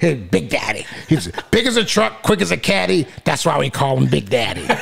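Doing a put-on character voice, a man speaks at medium pitch and a moderate pace, with very wide pitch swings and light background noise behind him.

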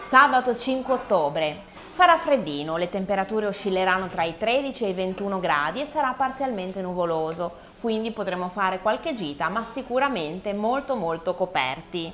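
A woman speaks at a moderate pace and a medium pitch. Her pitch swings very widely. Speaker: co-host and singer. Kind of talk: presenting. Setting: bar.

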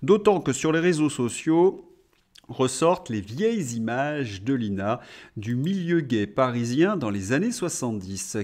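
The pitch swings very widely as a man speaks at a very slow pace. The background stays quiet. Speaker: political commentator, video blogger. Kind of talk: angry political rant, sarcastic commentary. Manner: indignant, sarcastic, scornful. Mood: sarcastic, mocking.

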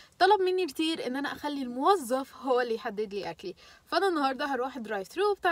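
A woman speaks at a high pitch with lively intonation. The sound is dry, with no echo. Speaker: vlogger. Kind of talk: casual vlog chat.

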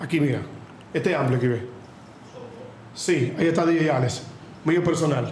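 A man with a Dominican accent speaks at a moderate pace, leaving long, frequent pauses. Light background noise and audible room echo are present. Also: ordinary pitch variation. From Dominican Republic. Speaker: podcast host. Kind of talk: casual live show chat. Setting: live stream studio. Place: studio.

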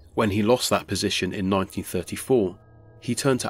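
Over music in the background, a man talks with fairly even intonation at a fairly low pitch. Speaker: YouTube storyteller. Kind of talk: scripted ghost story narration, eerie and measured. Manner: formal.

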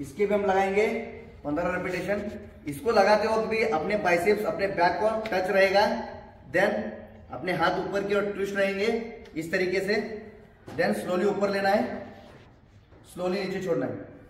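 A man's high voice at a fairly slow pace, with long, frequent pauses, fairly even intonation, audible room echo and light background noise. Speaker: fitness trainer. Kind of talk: tutorial. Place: gym.

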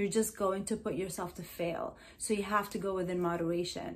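An American accent in a woman's somewhat breathy voice. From New Jersey, US (Middle Eastern heritage). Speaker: hypnotherapist and wellness YouTuber. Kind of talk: motivational vlog monologue. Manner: animated, repetitive with fillers. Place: home room.

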